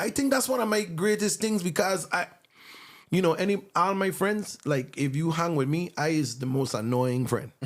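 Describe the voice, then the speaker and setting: In a Virgin Islands accent, a man speaks at a high pitch and a moderate pace, with very wide pitch swings. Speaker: songwriter. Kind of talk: casual chat.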